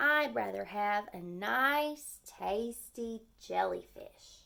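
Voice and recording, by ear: A woman's put-on character voice, fairly high in pitch, bright and sharp in tone, with vocal fry, lively intonation and a very slow pace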